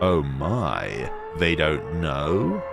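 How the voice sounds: A man does a put-on character voice at an extremely low pitch with vocal fry and big pitch swings, speaking very slowly. Music plays clearly in the background.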